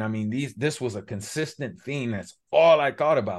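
The speaker has an American accent. Little can be heard in the quiet background. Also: man. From Los Angeles, Pacoima. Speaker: former pro football player and mind mapping coach. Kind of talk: interview.

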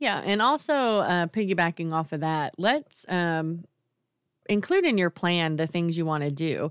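In a normal speaking voice, a woman talks at a fairly slow pace with a fairly low pitch and ordinary pitch variation. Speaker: podcast host and salon owner. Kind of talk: casual co-hosted podcast recap.

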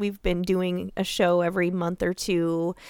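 A woman uses a normal speaking voice at medium pitch and a fairly slow pace. The sound is dry and close, with no echo. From Iowa, US Midwest. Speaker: true crime podcast host. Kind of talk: casual chat.

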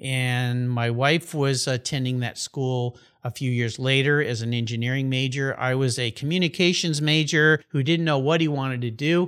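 A man with a plain, everyday voice and an American accent speaks at a moderate pace and medium pitch, with fairly even intonation and hardly any pauses. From Southern California. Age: 60s. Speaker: podcast host. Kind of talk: casual interview. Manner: laughs often.

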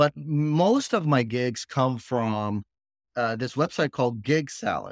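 On a very clean recording with a silent background and a dry, close sound with no echo, a man speaks very slowly at a medium pitch with ordinary pitch variation. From Pakistan. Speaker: comedian and real estate investor. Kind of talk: casual interview.

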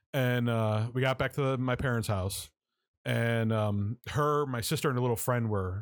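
A plain, everyday voice from a man at a moderate pace, with very even loudness and fairly even intonation, on a very clean recording with a silent background. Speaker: guest, horror effects artist. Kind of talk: casual chat.

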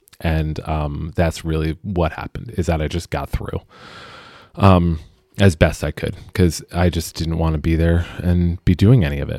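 A man's very deep, low, dark and mellow voice with an American accent, fairly even intonation and a moderate pace, in a dry, close sound with no echo. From Pennsylvania. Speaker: podcast host. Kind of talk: personal testimony. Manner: halting.

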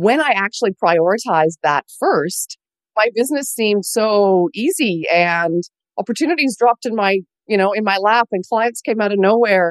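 Recorded dry and close with no echo, a woman in an unremarkable speaking voice talks at a moderate pace and medium pitch with lively intonation. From Canada. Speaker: business coach. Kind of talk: interview.

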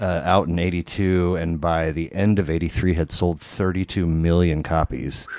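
A man's very deep, low voice in monotone, flat intonation, on a very clean recording with a silent background. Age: 40s. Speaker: podcast host. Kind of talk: casual chat. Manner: halting.

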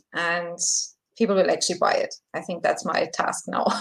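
This is a woman speaking. She talks with a German accent. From Germany. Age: 40s. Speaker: breakup recovery coach. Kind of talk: live video Q&A.

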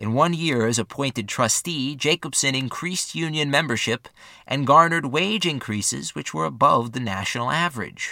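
A man speaks at a moderate pace with a fairly high pitch and a bright, sharp tone. His intonation is lively, with vocal fry. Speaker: podcast narrator. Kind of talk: history documentary narration. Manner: formal; measured, steady.

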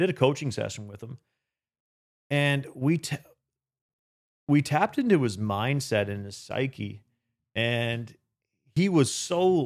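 Talking fairly slowly with a Canadian accent, a man sounds animated, his intonation lively. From Canada. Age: 40s. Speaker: real estate investor and financial coach. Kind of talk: casual interview.

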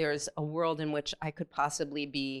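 Against a quiet background, a woman with an American accent speaks at a moderate pace in a very deep, low pitch. Her intonation is monotone and flat, and the sound is dry and close with no echo. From California. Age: 50s. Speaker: participant in group discussion. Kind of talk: facilitated group dialogue. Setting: room with audience in a circle.

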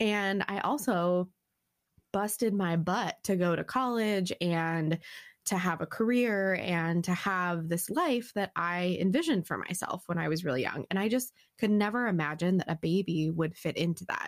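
A woman with an ordinary speaking voice at medium pitch and a moderate pace, ordinary pitch variation, on a very clean recording with a silent background. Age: 30s. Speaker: podcast co-host, stepmom. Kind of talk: casual chat.

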